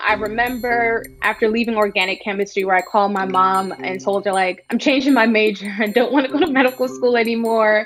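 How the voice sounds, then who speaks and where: A woman speaks with a New York accent and a fairly high pitch. Her pace is fairly quick, with hardly any pauses. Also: ordinary pitch variation. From New York (Bronx). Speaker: startup founder and CEO. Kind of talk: interview answer.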